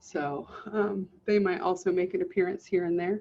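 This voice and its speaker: A woman with an American accent speaks at a moderate pace, her medium pitch held in a flat, monotone intonation. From Southern California. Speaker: college instructor. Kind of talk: online class lecture. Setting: video call.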